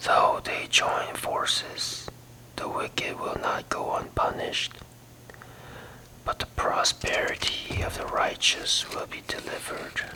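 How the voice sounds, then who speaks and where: Someone whispers in a gentle tone. Background noise is noticeable. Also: fairly slow pace. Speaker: ASMR Bible reader. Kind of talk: whispered ASMR Bible reading. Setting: relaxation or sleep audio. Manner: whispered, soft-spoken, gentle.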